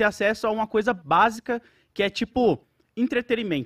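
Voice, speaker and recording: A man speaks at a high pitch and a moderate pace. The sound is dry and close, with no echo. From Brazil, Alagoas. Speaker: internet show co-host. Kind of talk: casual chat.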